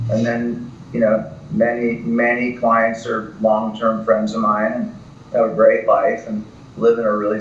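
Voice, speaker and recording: With audible room echo and noticeable background noise, a man speaks at a medium pitch and a fairly slow pace in a monotone, flat intonation. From US East Coast. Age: 60s. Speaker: real estate broker. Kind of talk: podcast interview.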